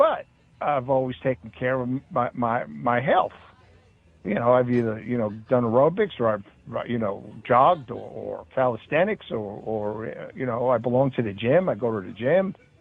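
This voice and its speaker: Speaking at a moderate pace, a man uses lively intonation at a medium pitch. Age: 60s. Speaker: radio show host. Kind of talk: casual chat, opinionated rant. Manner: halting, many fillers and repeated words.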